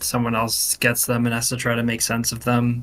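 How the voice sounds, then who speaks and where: On a very clean recording with a silent background, a man speaks loudly at a moderate pace, his medium-pitched voice bright and sharp in tone. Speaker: game developer. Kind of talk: casual chat.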